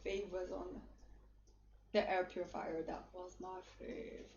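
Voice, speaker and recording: A woman speaks with a French Canadian accent. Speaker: livestream influencer and model. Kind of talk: livestream shopping chat. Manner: casual, hesitant with fillers.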